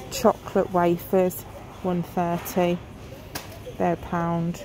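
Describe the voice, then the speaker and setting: Dry sound with no echo, plus light background noise. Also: woman. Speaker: shopper vlogger. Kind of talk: casual vlog chat. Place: shop. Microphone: phone near.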